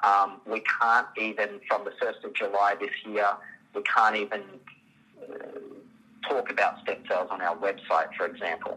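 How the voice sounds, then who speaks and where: Speaking at a fairly slow pace, a man talks in an Australian accent. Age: 40s. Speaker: biologist, stem cell clinic owner. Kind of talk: interview. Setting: phone call.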